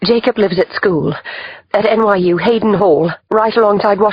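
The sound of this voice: The clip features an unforced reading voice.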